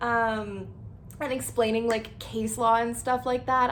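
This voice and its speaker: In a western Canadian accent, a woman speaks at a fairly slow pace with audible room echo. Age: 20s. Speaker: lifestyle vlogger. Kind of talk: casual channel introduction. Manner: casual, filler-heavy (like, um).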